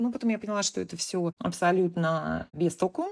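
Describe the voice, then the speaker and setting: A woman with a plain, everyday voice speaks at a fairly low pitch with lively intonation. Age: 40s. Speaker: cancer patient, entrepreneur. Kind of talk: interview.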